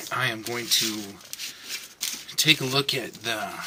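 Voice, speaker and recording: Mumbling from a man of medium pitch over noticeable background noise. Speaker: van life vlogger. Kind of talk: tutorial. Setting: inside a van. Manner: mumbling to himself.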